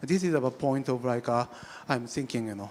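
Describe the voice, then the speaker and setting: A man with a Japanese accent and ordinary pitch variation. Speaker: architect. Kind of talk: panel discussion. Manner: halting, many fillers and restarts.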